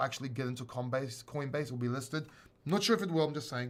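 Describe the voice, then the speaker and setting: A man speaks with a fairly high pitch and ordinary pitch variation. The recording is very clean, with a silent background. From born in London, grew up in Greece. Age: 40s. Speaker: crypto YouTuber. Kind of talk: live stream Q&A and advice. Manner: casual, conversational.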